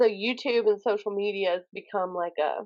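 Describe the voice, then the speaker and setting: In a Southern US accent, this woman talks. Her voice sits at a medium pitch. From US South, Alabama. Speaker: author, poet and YouTuber. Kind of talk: interview. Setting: podcast. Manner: animated.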